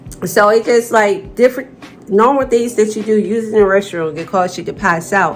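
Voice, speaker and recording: A woman speaks at a moderate pace, her pitch varying in an ordinary way, with music in the background. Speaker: vlogger sharing chronic illness experience. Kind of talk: personal vlog talk to camera. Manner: stuttering, halting.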